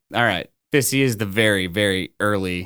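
Over a very clean recording with a silent background, a man with an American accent speaks in an unremarkable speaking voice, fairly low in pitch, at a moderate pace with ordinary pitch variation. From Texas, Orange (Gulf Coast near Louisiana). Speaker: lending executive and incoming podcast host. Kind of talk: casual chat.

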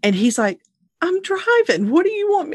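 Against a quiet background, a woman with a normal speaking voice and an American accent talks at a fairly quick pace with lively intonation. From Louisiana, US South. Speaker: podcast host and nonprofit founder. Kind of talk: casual interview, life story.

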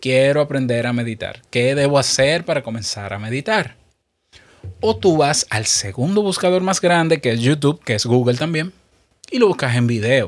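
This is a man with an ordinary speaking voice and a fairly high pitch. He talks at a moderate pace with lively intonation. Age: 30s. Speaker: podcast host. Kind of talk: solo podcast monologue. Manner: conversational.

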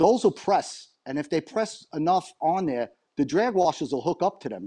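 With a New York accent and a dark, mellow tone, a man speaks against a quiet background. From New York area. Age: 60s. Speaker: fishing reel repair technician. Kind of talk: interview. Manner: chatty.

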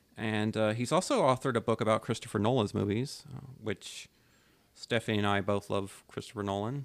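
A man's plain, everyday voice, fairly low in pitch, at a fairly quick pace with ordinary pitch variation. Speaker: podcast co-host. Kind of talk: casual chat.

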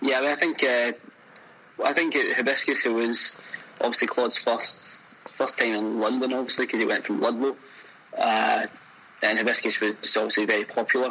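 A man with a Glaswegian accent speaks at a very even loudness over noticeable background noise. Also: moderate pace. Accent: Glaswegian Scottish. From Scotland, Glasgow. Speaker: chef. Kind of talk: casual interview.

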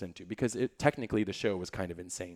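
A plain, everyday voice with an American accent keeps a fairly even intonation. The recording is very clean, with a silent background. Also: man. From US suburbs. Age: 30s. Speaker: musical theatre performer. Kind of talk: casual interview.

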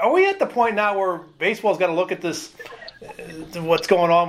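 A man speaks at a fairly quick pace with an American accent. Noticeable background noise runs behind him. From Philadelphia. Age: 50s. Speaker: podcast host, sports editor. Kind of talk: interview. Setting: studio.

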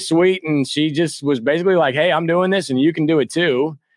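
Against a quiet background, a man with an American accent speaks at a fairly quick pace. His voice is fairly high in pitch. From US Midwest. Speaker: real estate investor. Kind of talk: casual chat. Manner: halting, many fillers and restarts.

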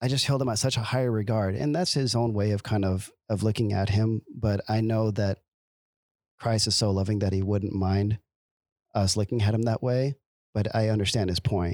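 A man with an American accent speaks in a plain, everyday voice at a fairly low pitch and a moderate pace, with fairly even intonation and very even loudness, dry and close with no echo on a very clean recording with a silent background. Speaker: returned missionary. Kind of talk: casual chat. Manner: informal, laughs a lot.

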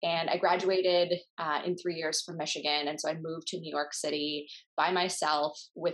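This voice carries an Upper Midwest accent with fairly even intonation. It keeps to a moderate pace. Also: woman. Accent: Upper Midwest American. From US Midwest, Minnesota. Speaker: startup founder. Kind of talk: interview.

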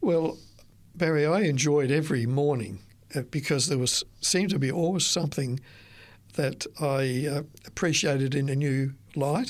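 A man's fairly high voice at a moderate pace, with ordinary pitch variation and very even loudness, on a very clean recording with a silent background. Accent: Australian. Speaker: retired author. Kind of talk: interview. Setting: studio. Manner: halting.

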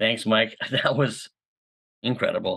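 Someone with a Canadian accent speaks over a quiet background. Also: man. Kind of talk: interview.

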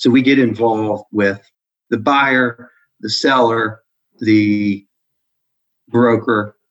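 A man with an American accent, fairly low-pitched, in a dry, close recording with no echo. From Maryland suburbs of Washington D.C. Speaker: accounting firm executive. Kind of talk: interview. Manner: halting, many repetitions and fillers.

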